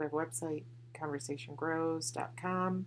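The pitch moves up and down a normal amount. The pace is fairly slow. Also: woman. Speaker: podcast host and mother. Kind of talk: casual chat. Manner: loud.

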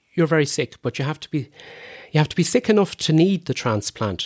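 A man speaks with an Irish midlands accent. The sound is dry and close, with no echo. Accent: Irish (Roscommon). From Ireland, County Roscommon. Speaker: lung transplant recipient. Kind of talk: interview.

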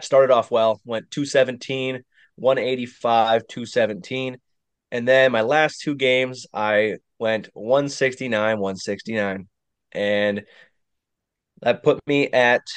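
Against a quiet background, a man uses a plain, everyday voice at a medium pitch, with fairly even intonation and a fairly slow pace. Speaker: podcast co-host. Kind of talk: casual chat.

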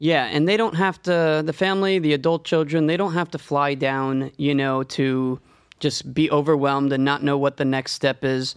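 With an ordinary speaking voice, a man talks at a moderate pace in a fairly high pitch, keeping fairly even intonation and very even loudness against a quiet background. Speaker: podcast host. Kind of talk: interview.

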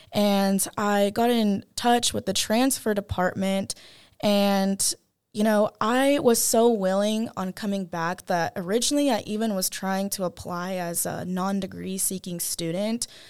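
Speaking at a fairly slow pace, a woman has an ordinary speaking voice at a medium pitch with ordinary pitch variation. The recording is very clean, with a silent background. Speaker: university student. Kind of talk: personal testimony.

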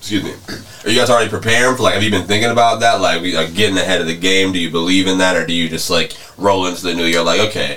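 This man's voice is very deep and low, and he talks at a very fast pace with fairly even intonation. Noticeable background noise runs under his speech. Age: 20s. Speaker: podcast host. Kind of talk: casual chat.

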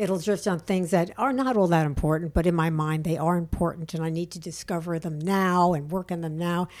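An unremarkable speaking voice moves at a fairly quick pace with fairly even intonation on a very clean recording with a silent background. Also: woman, fairly low pitch for a woman. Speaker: podcast host. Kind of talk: casual interview chat.

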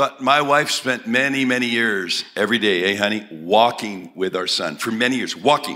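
A man's bright, sharp voice at a moderate pace, with hardly any pauses and ordinary pitch variation. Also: medium pitch for a man. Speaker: preacher. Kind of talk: sermon. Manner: speaks in short phrases for interpreter.

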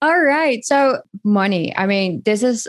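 A woman's very slow delivery with lively intonation

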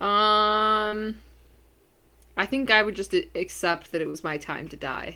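A woman with a fairly high pitch and a bright, sharp tone speaks at a fairly slow pace with lively intonation, big swings in loudness, and long, frequent pauses on a very clean recording with a silent background. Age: 20s. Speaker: podcast co-host. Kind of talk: casual chat.

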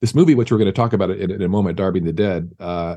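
Very deep, low pitch and a dark, mellow tone from a man with a Californian accent, at a very fast pace with ordinary pitch variation. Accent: Californian American. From US West Coast, San Diego. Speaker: film composer. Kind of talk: casual interview chat.

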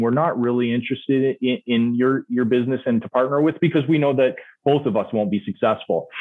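A man talks at a fairly quick pace in a plain, everyday voice. His medium pitch shows ordinary variation. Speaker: auto shop owner and product marketing head. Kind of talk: interview.

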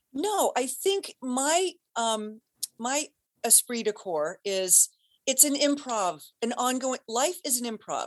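A woman's high voice in an American accent at a very slow pace, with very wide pitch swings and a dry, close sound with no echo. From US Midwest (Cincinnati, Ohio). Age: 50s. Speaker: actress and voice-over artist. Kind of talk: casual chat.

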